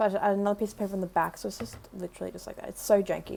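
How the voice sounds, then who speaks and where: A woman speaks in an Australian accent. Her pitch sits in the medium range. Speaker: makeup artist vlogger. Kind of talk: vlog, casual talk to camera. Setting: in a store. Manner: casual, rambling with fillers.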